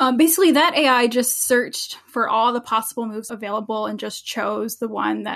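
A fairly high-pitched woman in an American accent, with vocal fry, ordinary pitch variation and a moderate pace. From US Northeast, New Jersey. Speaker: philosophy professor. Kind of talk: interview conversation.

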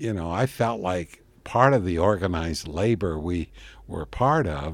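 Very wide pitch swings mark this man's warm tone. The recording is very clean with a silent background. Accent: western US. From Colorado (Oak Creek, coal-mining town). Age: 70s. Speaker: retired hair salon owner, son of Italian immigrants. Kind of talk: elderly man's reminiscing life story, 2011 radio interview. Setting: radio interview. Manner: meandering, self-correcting with frequent restarts and 'you know'; warm, unhurried recollection.

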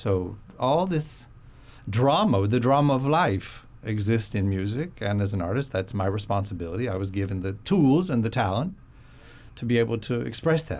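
An unremarkable speaking voice with an American accent, lively intonation and a moderate pace, in a very clean recording with a silent background. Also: man, fairly low pitch for a man. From Florida. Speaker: concert pianist. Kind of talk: radio interview. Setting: studio.

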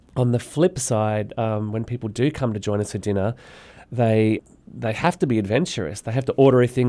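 A man with an Australian accent, fairly low-pitched with a dark, mellow tone and ordinary pitch variation, at a fairly quick pace on a very clean recording against a silent background. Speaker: restaurant owner. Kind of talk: interview.

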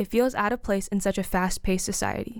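At a fairly quick pace, a woman talks at a medium pitch in an unremarkable speaking voice. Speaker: essayist and figure skater. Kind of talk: reading aloud.

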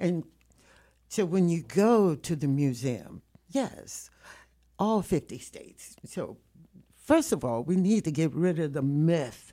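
This woman's voice has a dark, mellow tone. Her pitch varies in an ordinary way. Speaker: community activist, older-generation panelist. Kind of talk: radio panel discussion. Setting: radio studio. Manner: animated, forceful.

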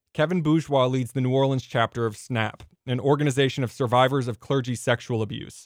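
A man talks fairly quickly in an ordinary speaking voice, keeping his intonation fairly even. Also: medium pitch for a man. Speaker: radio reporter. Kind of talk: scripted radio news report.

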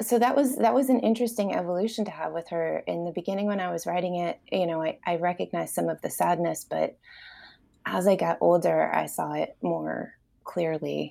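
The speech comes in an American accent at a fairly quick pace. The recording is very clean with a silent background. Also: woman. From New York area. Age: 40s. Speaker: novelist. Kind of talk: interview.

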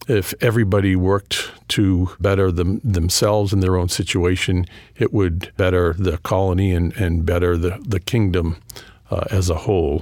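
A man speaks with a New England accent. His voice is very deep and low, with very even loudness. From New England (Boston area). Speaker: history professor and author. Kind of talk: interview. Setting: studio.

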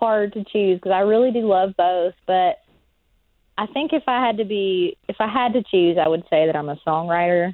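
Here a woman with an American accent uses a plain, everyday voice at a medium pitch, moving at a moderate pace with lively intonation. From southwest Virginia mountains. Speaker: singer-songwriter. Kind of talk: interview. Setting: phone call.

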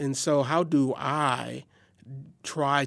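A man's fairly high voice on a very clean recording with a silent background. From Milwaukee, Wisconsin. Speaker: guest discussing race and family. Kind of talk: podcast conversation.

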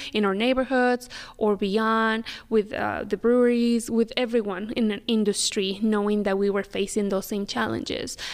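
Moderate pace and fairly even intonation in a Spanish accent, on a very clean recording with a silent background. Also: woman. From Mexico City, Mexico. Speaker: business development officer and restaurant co-owner. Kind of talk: interview.

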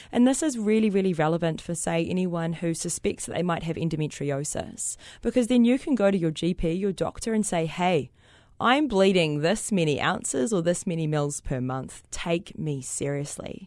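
With a New Zealand accent, a woman speaks at a fairly low pitch and moderate pace with lively intonation over a quiet background. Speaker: social entrepreneur. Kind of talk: interview. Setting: studio.

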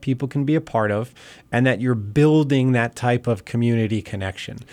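A man with an eastern Pennsylvania accent, medium in pitch and very fast in pace, in a very clean recording with a silent background. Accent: eastern Pennsylvania American. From Bethlehem, Pennsylvania, US. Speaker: city mayor. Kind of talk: radio interview.

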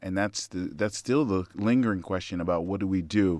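Here a man talks in a very deep, low pitch with ordinary pitch variation. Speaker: faith-based community organizer. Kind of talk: radio call-in discussion. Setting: radio studio.

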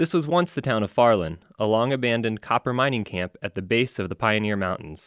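A man in a plain, everyday voice speaks at a fairly quick pace with medium pitch and lively intonation, captured in a very clean recording with a silent background. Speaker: radio essayist and geology teacher. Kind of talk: scripted nature documentary narration, read aloud as a radio essay. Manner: measured, calm, even-paced and formal, with a vivid storytelling lilt; clearly enunciated with authoritative, educational tone.

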